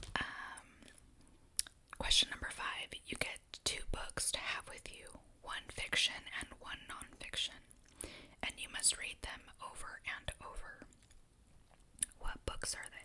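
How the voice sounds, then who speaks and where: Whispering at a fairly slow pace with long, frequent pauses, a woman shows big swings in loudness over noticeable background noise. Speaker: ASMR creator. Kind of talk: ASMR questionnaire answers while eating snacks. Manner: soft-spoken, whispering.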